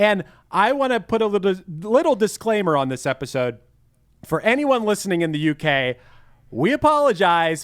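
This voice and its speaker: With a Pittsburgh accent, a man speaks at a moderate pace with very wide pitch swings. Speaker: podcast host. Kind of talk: casual chat.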